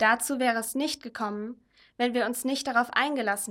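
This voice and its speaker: A normal speaking voice from a woman, fairly high in pitch. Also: very clean recording, silent background. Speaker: mission volunteer. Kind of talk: reading aloud.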